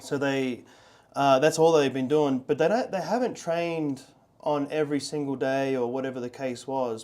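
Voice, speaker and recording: The tone is dark and mellow. It moves at a moderate pace. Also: man. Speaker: podcast host. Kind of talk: casual interview chat. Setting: studio.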